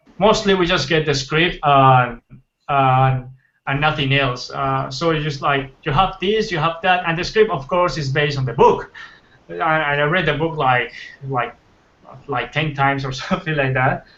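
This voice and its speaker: At a moderate pace, a man speaks with a fairly high pitch, ordinary pitch variation and a bright, sharp tone. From Colombia. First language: Spanish. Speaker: concept artist. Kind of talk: casual interview. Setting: livestream. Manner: halting.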